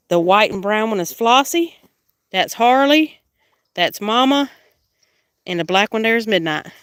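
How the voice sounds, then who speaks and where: Talking at a moderate pace, a woman speaks in an American accent. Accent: Southern accent, noticed by viewers. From South Carolina. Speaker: homesteader. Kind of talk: casual livestream tour.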